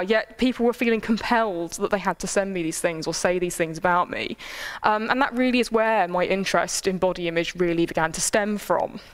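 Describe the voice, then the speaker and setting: Her delivery has an animated tone and a fairly quick pace, and the speaker is a woman. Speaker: lecturer. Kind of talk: lecture.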